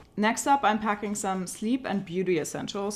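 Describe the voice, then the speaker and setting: A woman's medium-pitched voice with a German accent, against noticeable background noise. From Germany. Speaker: travel and tech vlogger. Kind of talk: casual product walkthrough vlog.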